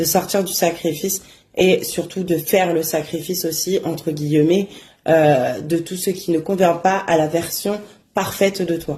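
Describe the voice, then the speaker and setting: Somewhat breathy and fairly low, a woman's dark, mellow voice moves at a fairly slow pace with fairly even intonation. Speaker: oracle card reader. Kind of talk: casual daily oracle message. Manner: hesitant, many fillers.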